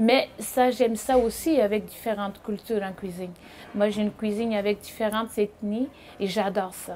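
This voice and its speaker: A woman in a Portuguese accent speaks with a fairly high pitch, fairly even intonation, and a dark, mellow tone. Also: moderate pace. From Portugal, small village. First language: Portuguese (speaking French). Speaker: chef and restaurateur. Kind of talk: interview. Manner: halting with repetitions.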